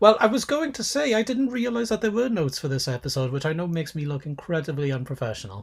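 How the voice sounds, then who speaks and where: A man talks very fast with hardly any pauses, his high voice swinging very widely in pitch. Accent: Welsh. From Wales. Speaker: podcast co-host, sociologist of religion. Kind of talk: casual academic discussion. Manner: halting, self-correcting.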